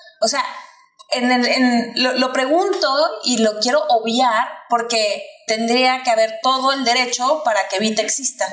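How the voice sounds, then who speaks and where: Over noticeable background noise, a woman with a Mexican accent speaks at a fairly slow pace in a high pitch. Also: ordinary pitch variation, very even loudness. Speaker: podcast co-host. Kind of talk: interview conversation.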